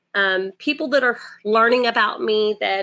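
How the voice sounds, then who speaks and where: Speaking at a moderate pace with a Southern accent, a woman has a bright, sharp tone and ordinary pitch variation. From Port Arthur, Texas (born Puerto Rico). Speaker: domestic violence advocate. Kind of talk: interview. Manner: halting, many fillers.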